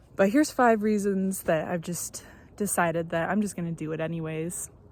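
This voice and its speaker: Fairly quick speech with ordinary pitch variation. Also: woman, fairly low pitch for a woman. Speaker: first-time vlogger. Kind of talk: casual vlog monologue. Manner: hesitant, many fillers.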